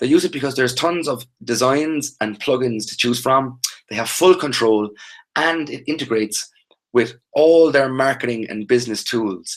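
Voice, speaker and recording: A man's medium-pitched voice with an Irish accent and ordinary pitch variation. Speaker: online training instructor. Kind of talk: live webinar tutorial. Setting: live video webinar. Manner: fast.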